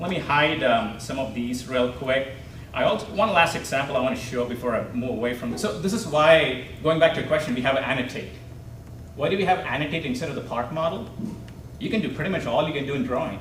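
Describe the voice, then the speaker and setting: A man with a fairly high pitch and lively intonation talks at a very fast pace, with audible room echo and noticeable background noise. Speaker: CAD software trainer presenter. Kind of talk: technical presentation with live demo.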